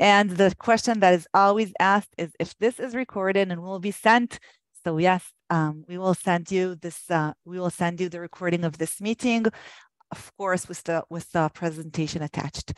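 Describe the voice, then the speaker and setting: With a dry, close sound and no echo, a woman of medium pitch speaks in an Israeli accent at a moderate pace, her intonation fairly even but with big swings in loudness. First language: Hebrew. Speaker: government program manager. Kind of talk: webinar presentation. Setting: online webinar. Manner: hesitant, many fillers.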